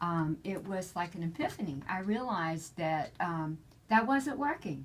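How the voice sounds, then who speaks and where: A woman with a South Carolina accent speaks at a fairly slow pace, her somewhat breathy voice carrying lively intonation. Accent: Southern US, South Carolina. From South Carolina, US South. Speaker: political candidate, community activist. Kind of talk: interview.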